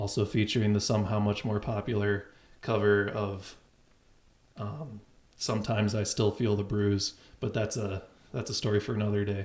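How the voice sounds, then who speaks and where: Delivered at a moderate pace, this somewhat breathy voice speaks in a flat monotone broken by long, frequent pauses. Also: man, fairly low pitch for a man. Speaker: call-in show host. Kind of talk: casual chat. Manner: twitchy.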